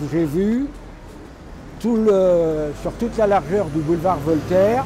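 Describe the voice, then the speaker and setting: Amid noticeable background noise, a man with a high-pitched voice speaks at a very slow pace with ordinary pitch variation. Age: 80s+. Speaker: retired activist and former mayor. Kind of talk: interview testimony. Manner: halting.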